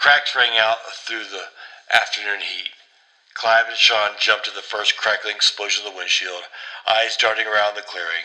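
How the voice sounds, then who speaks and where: The speech moves at a moderate pace, broken by long, frequent pauses. Loudness swings widely, over noticeable background noise. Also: man, medium pitch for a man. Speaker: horror story narrator. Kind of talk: read horror story.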